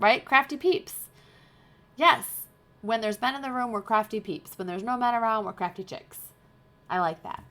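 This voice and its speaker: A woman speaks with a fairly high pitch and a bright, sharp, animated tone. Her intonation is lively, broken by long, frequent pauses. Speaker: craft livestream host. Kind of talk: casual chat. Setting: live stream. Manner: fast.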